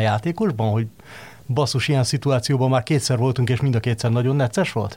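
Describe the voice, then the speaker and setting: At a very fast pace, a man speaks with a dark, mellow tone, a somewhat breathy voice and ordinary pitch variation. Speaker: football pundit. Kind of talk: casual football discussion. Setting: studio.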